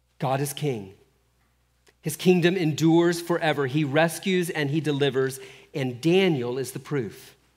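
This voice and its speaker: A man with fairly high pitch and ordinary pitch variation talks at a moderate pace amid audible room echo. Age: 50s. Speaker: pastor. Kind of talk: sermon. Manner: halting.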